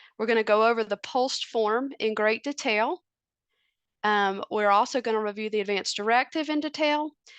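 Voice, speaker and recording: A woman with a Southern US accent talks at a moderate pace and a fairly high pitch, her pitch varying in an ordinary way, with a dry, close sound, no echo, and a quiet background. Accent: Southern US twang. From US South, North Carolina. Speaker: family physician. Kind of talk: presentation.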